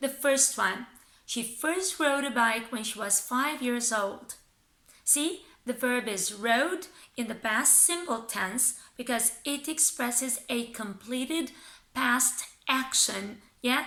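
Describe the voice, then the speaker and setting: A woman with a Romanian accent, high-pitched with a bright, sharp tone, ordinary pitch variation and a very slow pace. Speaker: English teacher. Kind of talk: tutorial.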